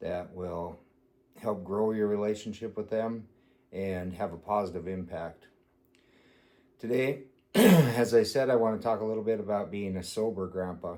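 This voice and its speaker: A man's dark, mellow voice comes with long, frequent pauses. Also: fairly low pitch for a man, ordinary pitch variation, moderate pace. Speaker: grandfather. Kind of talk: casual talk to camera. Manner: heartfelt, honest.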